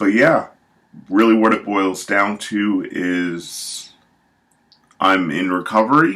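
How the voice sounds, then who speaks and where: Speech unfolds at a very slow tempo while the pitch varies in an ordinary way. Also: man. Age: 30s. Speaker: book vlogger. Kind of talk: casual monologue to camera. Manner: hesitant, many fillers.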